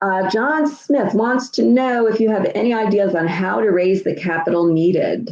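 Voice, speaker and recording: A woman with a plain, everyday voice speaks at a medium pitch and moderate pace, hardly pausing. Her intonation is lively and her loudness very even. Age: 60s. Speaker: tax lien investing educator. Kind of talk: live Q&A stream. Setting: livestream. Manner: casual, many fillers.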